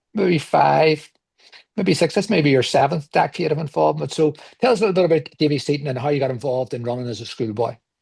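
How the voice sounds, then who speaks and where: A man speaks very fast at a fairly high pitch, somewhat breathy. His intonation is lively, and his loudness swings widely. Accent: Belfast. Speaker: podcast host. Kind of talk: podcast interview.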